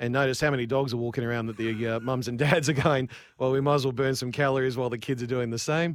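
The speaker has an Australian accent and talks at a very fast pace. Intonation stays fairly even. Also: man, medium pitch for a man. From Queensland, Australia (Cairns). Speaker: business owner. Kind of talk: radio interview. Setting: remote call into radio studio.

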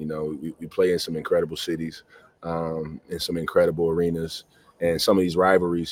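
Flat and monotone, a man with an American accent talks at a very deep, low pitch. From US South. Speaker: college basketball assistant coach. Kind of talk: interview.

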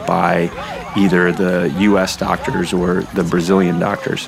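Noticeable background noise behind a voice with an American accent. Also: man. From US Northeast, New Hampshire. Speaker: navy photographer. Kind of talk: personal storytelling.

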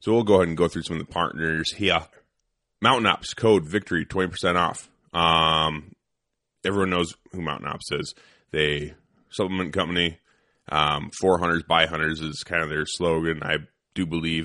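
Speaking at a moderate pace with long, frequent pauses, a man with a very deep, low pitch keeps his intonation fairly even. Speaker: podcast host, firearms instructor. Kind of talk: casual chat. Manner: mumbling, doesn't open mouth much.

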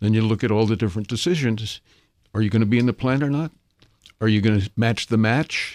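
Dry and close with no echo, a man at a medium pitch talks at a very fast pace. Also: ordinary pitch variation, very clean recording, silent background. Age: 70s. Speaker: investment consultant and author. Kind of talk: interview. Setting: studio.

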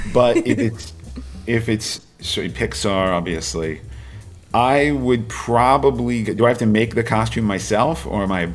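A man with an American accent talks at a fairly slow pace in a fairly low pitch. His intonation is lively, with vocal fry. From Washington state, US. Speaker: film studio executive. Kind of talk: interview. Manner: halting, many fillers and repeated words.

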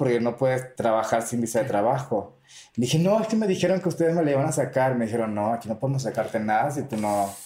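At a very fast pace, a man talks with lively intonation, a medium pitch and a dark, mellow tone. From Venezuela. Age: 30s. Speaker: drag queen and entrepreneur. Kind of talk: casual interview. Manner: animated.

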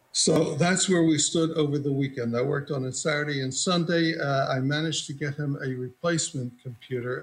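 With noticeable background noise, a man speaks at a fairly quick pace in a fairly high pitch, with hardly any pauses. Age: 80s+. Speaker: computer technician, plaintiff. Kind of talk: courtroom testimony.

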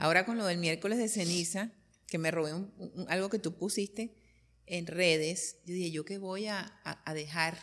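In a plain, everyday voice, the speaker keeps a moderate pace and fairly even intonation. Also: woman, fairly low pitch for a woman. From Colombia. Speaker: interviewer, journalist. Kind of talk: casual interview conversation.

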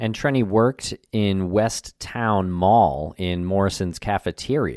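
A man speaks in an unremarkable speaking voice, fairly low in pitch with ordinary pitch variation. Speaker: podcast host. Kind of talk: casual conversational podcast. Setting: remote recording, guest joining virtually.

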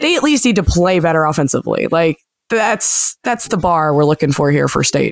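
A fairly low-pitched woman's voice with vocal fry, lively intonation, very even loudness and a moderate pace, in a dry, close sound with no echo. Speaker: podcast host. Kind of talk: casual chat.

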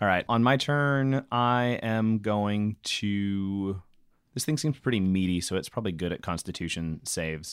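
Here is a man with a plain, everyday voice at a fairly low pitch. He speaks fairly slowly with ordinary pitch variation, in a very clean recording with a silent background. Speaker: tabletop RPG player and podcast co-host. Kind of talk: in-character tabletop RPG dialogue mixed with casual banter and outro. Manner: wry, jokey, laughs often.

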